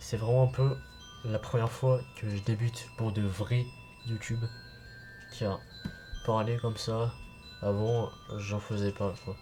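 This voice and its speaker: A man's fairly low voice at a very slow pace with fairly even intonation, music in the background. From France. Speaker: gaming and anime youtuber. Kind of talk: casual channel introduction. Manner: halting.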